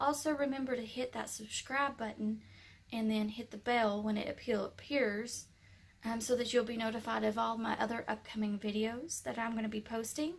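A woman speaks at a moderate pace in a somewhat breathy voice with fairly even intonation. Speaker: haul vlogger. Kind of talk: casual vlog chat. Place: home room. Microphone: phone near.

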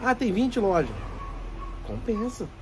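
A man speaking at a fairly slow pace over light background noise. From Brazil. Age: 40s. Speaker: shop owner and YouTuber giving business tips; YouTuber giving business tips. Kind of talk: casual tutorial to camera. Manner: animated. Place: shop. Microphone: phone near.

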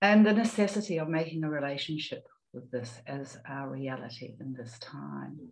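With a New Zealand accent, a woman speaks at a moderate pace in a very deep, low voice marked by vocal fry. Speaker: climate psychology presenter; panel respondent. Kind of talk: prepared reflection. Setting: video call. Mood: calm, reflective. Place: home room. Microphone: video call.

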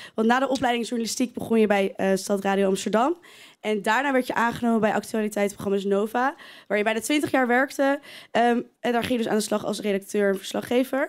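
Over a quiet background, a woman speaks at a very fast pace and fairly high pitch. Her pitch variation is ordinary and her loudness very even. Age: 20s. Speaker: student presenter. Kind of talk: live interview. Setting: stage with audience. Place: studio. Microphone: handheld.

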